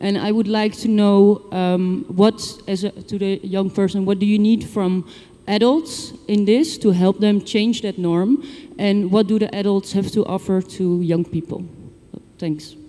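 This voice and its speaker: An ordinary speaking voice from a woman at a medium pitch, with ordinary pitch variation and a fairly slow pace. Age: young. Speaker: NGO worker, conference attendee. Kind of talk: audience question at conference.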